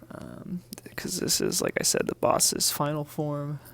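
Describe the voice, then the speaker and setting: A man whispers at a moderate pace. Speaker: artist. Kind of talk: tutorial. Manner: soft-spoken; halting.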